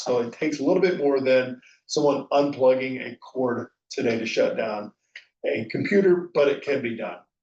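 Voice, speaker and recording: Here a man speaks in a normal speaking voice, fairly high in pitch. His pace is moderate. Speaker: conference speaker. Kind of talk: conference presentation. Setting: virtual conference.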